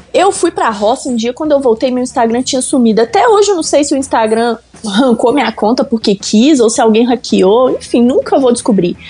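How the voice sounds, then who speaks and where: Over noticeable background noise, a woman with a high pitch talks at a fairly quick pace, with hardly any pauses and very even loudness. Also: lively intonation. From Belo Horizonte, Minas Gerais, Brazil. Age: 20s. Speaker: car content creator. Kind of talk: casual chat.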